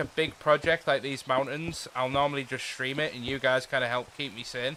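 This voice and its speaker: The speaker is a man. He talks with a northern English accent. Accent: northern English, mistaken for Scottish. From northeast England (Teesside, Redcar). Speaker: gaming streamer. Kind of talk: casual live-stream chat. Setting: live stream. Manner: animated.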